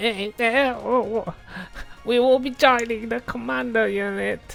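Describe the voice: A put-on character voice pitched fairly high moves at a fairly slow pace against clear background noise.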